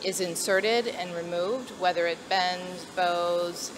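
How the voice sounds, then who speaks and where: Noticeable background noise runs under this woman's speech. Her voice sits fairly low in pitch, with fairly even intonation. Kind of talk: interview answer. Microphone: handheld.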